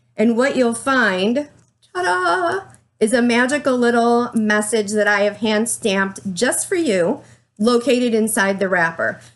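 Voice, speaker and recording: A shaky woman's voice moves at a fairly slow pace, with lively intonation and very even loudness. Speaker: small business owner, candle maker. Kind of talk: product presentation to camera. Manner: shaky, nervous.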